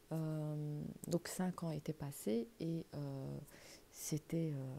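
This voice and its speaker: A soft-spoken woman with a very deep, low pitch, a dark, mellow tone and fairly even intonation. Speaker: religious YouTuber. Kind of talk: religious talk to camera. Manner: halting.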